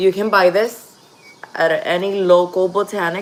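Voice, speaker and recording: Noticeable background noise sits behind a voice with a Puerto Rican accent. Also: woman. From Puerto Rico. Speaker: tarot reader. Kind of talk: livestream tarot reading. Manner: casual.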